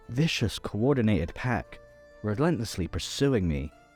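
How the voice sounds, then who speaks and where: Music plays in the background as a man speaks at a moderate pace. His fairly low voice has lively intonation. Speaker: voice actor. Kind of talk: first-person story narration.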